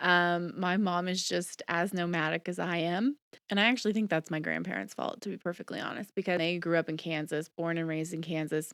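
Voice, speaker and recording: A woman's fairly low voice with a slight Southern US accent, fairly quick and fairly even in intonation, on a very clean recording with a silent background. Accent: slight Southern twang at times. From US South, Georgia (near Atlanta). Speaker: podcast host. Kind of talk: casual monologue. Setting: home recording. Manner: chatty, many fillers.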